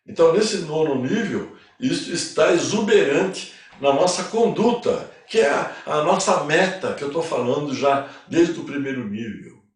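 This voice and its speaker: A man with a high voice speaks fairly slowly and with lively intonation, and room echo can be heard. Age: 80s+. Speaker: spiritual teacher. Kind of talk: lecture. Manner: casual.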